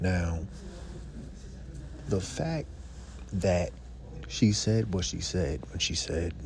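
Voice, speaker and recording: Quiet speech at a very slow pace carries lively intonation, long, frequent pauses and audible room echo. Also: man, very deep, low pitch for a man. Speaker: YouTube commentator. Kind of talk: casual commentary vlog. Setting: library. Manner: quiet, talking low.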